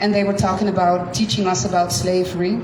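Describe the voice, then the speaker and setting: A woman speaks at a moderate pace with a Dutch accent. Audible room echo and noticeable background noise fill the recording. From Netherlands. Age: 50s. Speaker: science teacher and speaker. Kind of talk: personal testimony at community talk. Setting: community gathering with live audience.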